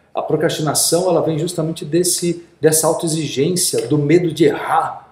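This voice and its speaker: Moderate-paced speech from a man, fairly high in pitch, with room echo clearly audible. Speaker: podcast host. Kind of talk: casual interview.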